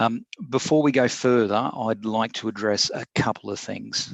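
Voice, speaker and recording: A man with a fairly low pitch talks at a moderate pace in a dry, close sound with no echo. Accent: Australian. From Australia. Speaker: corporate security executive. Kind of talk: prepared statement in online Q&A. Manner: hesitant with fillers.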